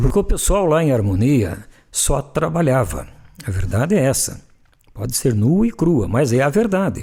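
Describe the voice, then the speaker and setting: A man talks at a moderate pace with very even loudness and a fairly high pitch. His pitch swings very widely, and vocal fry comes through. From Telêmaco Borba area, Paraná, Brazil. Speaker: journalist and radio broadcaster. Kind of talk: interview answer, reminiscing.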